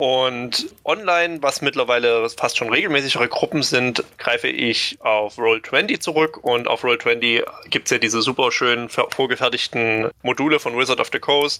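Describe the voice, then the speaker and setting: A man talks at a fairly slow pace in a plain, everyday voice. His pitch is medium, with ordinary pitch variation. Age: 20s. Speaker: hobby game master. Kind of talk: interview.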